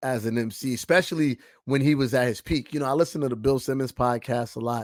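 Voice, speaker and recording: In an American accent, a man talks with medium pitch and ordinary pitch variation. His tone is animated. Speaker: rapper. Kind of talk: interview.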